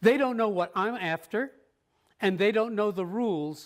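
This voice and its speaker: Moderate pace with ordinary pitch variation. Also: man. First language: Spanish. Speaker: professor. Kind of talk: lecture. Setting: workshop with live and remote audience.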